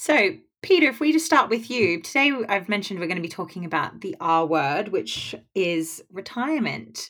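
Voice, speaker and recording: A woman's voice with a British accent, a moderate pace and very wide pitch swings. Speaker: podcast host and financial advisor. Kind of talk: casual chat.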